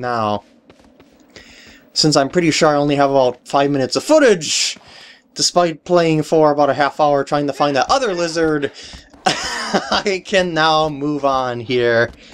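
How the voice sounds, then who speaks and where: Noticeable background noise runs under this clip. A man with a fairly high pitch and ordinary pitch variation talks at a fairly slow pace. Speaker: let's play gamer. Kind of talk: video game commentary.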